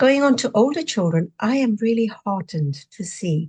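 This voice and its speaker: Somewhat breathy, fairly high woman's voice with a dark, mellow tone and lively intonation, dry and close with no echo. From Zimbabwe (Rhodesia era), Indian family. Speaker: retired pharmacist and novelist. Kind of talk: interview conversation. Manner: animated.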